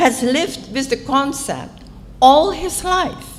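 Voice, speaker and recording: A woman with a Dutch accent speaks at a very slow pace with very wide pitch swings. Room echo is audible and background noise noticeable. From Indonesia. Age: 80s+. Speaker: author. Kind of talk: conference talk. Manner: formal.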